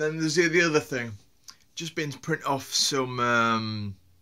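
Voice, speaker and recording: Bright and sharp in tone, a man speaks with lively intonation in a strong Yorkshire accent. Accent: broad Yorkshire. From Yorkshire, northern England. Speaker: vlogger. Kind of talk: casual vlog monologue. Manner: halting, with many fillers and repeats.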